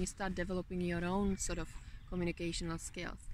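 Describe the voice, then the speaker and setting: Speaking at a moderate pace, a woman talks in a Czech accent. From Czech Republic. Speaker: motivational vlogger. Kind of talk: motivational talk.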